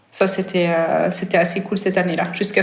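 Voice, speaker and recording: Over noticeable background noise and audible room echo, a woman talks at a moderate pace and medium pitch with flat, monotone intonation. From Switzerland. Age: 30s. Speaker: professional triathlete. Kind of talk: podcast interview. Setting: podcast. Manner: hesitant, many fillers.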